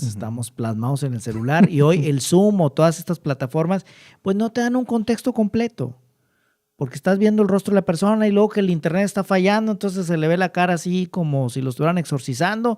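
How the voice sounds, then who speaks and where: A dark, mellow tone with very wide pitch swings at a fairly quick pace, dry and close with no echo, on a very clean recording with a silent background. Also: man, high pitch for a man. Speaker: interviewer, communicator. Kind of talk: interview questions.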